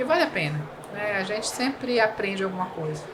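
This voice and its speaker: Over noticeable background noise and audible room echo, a woman speaks at a medium pitch in a Bahian accent with ordinary pitch variation. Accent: Bahian Brazilian Portuguese. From Bahia, Brazil. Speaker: civil engineer. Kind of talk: podcast interview. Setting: trade fair.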